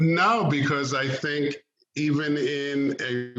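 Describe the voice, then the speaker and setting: In a room with audible echo, a man speaks in a bright, sharp tone. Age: 60s. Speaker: track meet director and coach. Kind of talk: radio interview.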